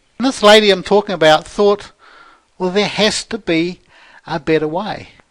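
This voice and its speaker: A man with a New Zealand accent talks at a moderate pace and a high pitch. His intonation is fairly even, broken by long, frequent pauses. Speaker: Excel trainer and financial controller. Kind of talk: sales pitch.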